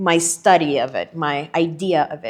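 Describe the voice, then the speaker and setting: A woman with an American accent at a fairly slow pace against a quiet background. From Panama. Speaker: podcast host. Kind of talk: casual chat. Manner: animated.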